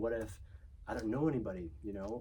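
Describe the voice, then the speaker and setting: Fairly quick male voice at medium pitch, dark and mellow with vocal fry, in audible room echo. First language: Chinese. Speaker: children's book author and illustrator. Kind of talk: interview. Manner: casual, many filler words.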